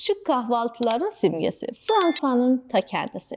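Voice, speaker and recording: A woman speaks at a fairly slow pace with a slight non-native accent. Her tone is dark and mellow, and her pitch swings very widely. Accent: slight non-native accent in Turkish. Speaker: history explainer host. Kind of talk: storytelling history explainer narration.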